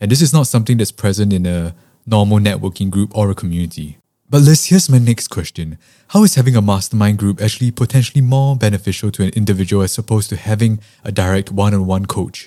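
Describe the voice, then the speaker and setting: A man speaks at a very fast pace in a fairly low pitch with a dark, mellow tone. The recording is very clean with a silent background. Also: ordinary pitch variation. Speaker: podcast host. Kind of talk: interview.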